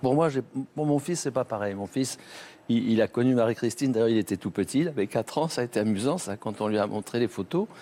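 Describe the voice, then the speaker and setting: A dark, mellow tone at a very fast pace, with ordinary pitch variation and a dry, close sound free of echo. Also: man, medium pitch for a man. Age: 70s. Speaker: testimony guest on TV talk show. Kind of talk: TV interview. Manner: halting.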